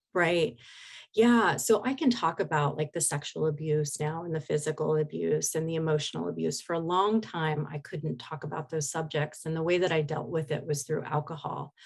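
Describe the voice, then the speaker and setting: A woman speaks at a moderate pace. Her voice is very deep and low-pitched, and somewhat breathy. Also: ordinary pitch variation. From Oregon, US (Portland area). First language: Spanish. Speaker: hypnotherapist. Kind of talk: interview testimony.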